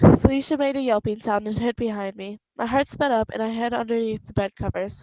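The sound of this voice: Ordinary pitch variation marks this unforced reading voice. The background is quiet.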